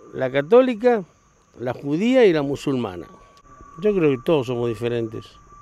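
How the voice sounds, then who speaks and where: A man's fairly high voice at a moderate pace, with very wide pitch swings, long, frequent pauses and noticeable background noise. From Argentina, Patagonia. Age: 60s. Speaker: gaucho, horseman. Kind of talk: interview. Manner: loud.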